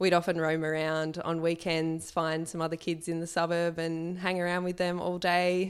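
Moderate in pace, a woman speaks with an Australian accent. Her pitch is fairly low. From Sydney, Australia. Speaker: magazine editor and journalist. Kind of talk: interview conversation.

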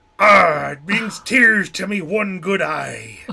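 This put-on character voice is raspy and moves at a fairly slow pace. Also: man, high pitch for a man. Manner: gruff, wry.

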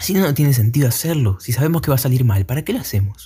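In an Argentine accent, a man talks at a very fast pace and medium pitch with lively intonation, a dark, mellow tone and a somewhat breathy quality. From Argentina. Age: young. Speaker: podcaster. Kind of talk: solo monologue podcast. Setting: at night. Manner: halting, many fillers.

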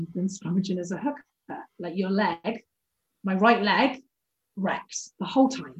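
Fairly slow, somewhat breathy speech from a woman at a medium pitch. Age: 20s. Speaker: rugby player. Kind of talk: casual chat.

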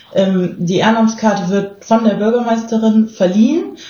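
Audible room echo surrounds a woman's voice. She keeps a moderate pace and fairly even intonation. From southern Germany. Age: 30s. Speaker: volunteer agency staff member. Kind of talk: casual interview.

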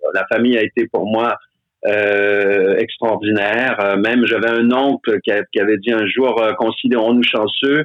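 A man with a normal speaking voice, medium pitch, fairly even intonation, very even loudness and a fairly slow pace. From Quebec. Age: 60s. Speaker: stage actor. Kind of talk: casual chat.

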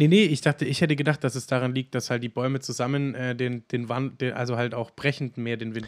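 A man at a very fast pace, with fairly even intonation and a dry, close sound with no echo. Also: medium pitch for a man. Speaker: podcast co-host. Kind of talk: casual chat.

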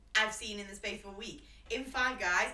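Against noticeable background noise, a woman speaks at a fairly quick pace. Her pitch is fairly high. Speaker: podcast co-host. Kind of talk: casual chat. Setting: late-night recording.

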